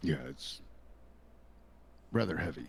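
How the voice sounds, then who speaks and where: In a put-on character voice, a man speaks raspy and very deep, with a low pitch. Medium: actual play. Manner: terse, few words.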